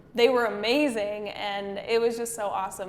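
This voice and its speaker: In an American accent, a woman speaks at a moderate pace and a medium pitch. Her delivery is flat and monotone, with audible room echo. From US Midwest. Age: 20s. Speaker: makeup artist and business owner. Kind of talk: podcast interview.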